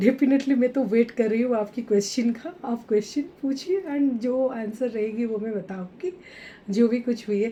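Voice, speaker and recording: The woman's voice is fairly high. She talks at a moderate speed. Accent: Odia. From India, Odisha. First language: Odia (speaking Hindi). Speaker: author and entrepreneur. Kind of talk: podcast interview. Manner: halting, many fillers.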